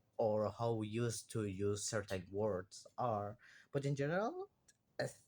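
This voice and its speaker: With a Spanish accent, a speaker talks at a fairly slow pace with very even loudness and ordinary pitch variation. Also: man, fairly low pitch for a man. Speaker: university student. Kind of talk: class assignment monologue. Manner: halting.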